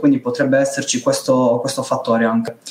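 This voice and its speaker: Noticeable background noise sits under a man speaking at a fairly quick pace. His pitch is fairly high, with ordinary variation. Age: 20s. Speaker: youtube channel panelist. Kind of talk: casual online panel discussion.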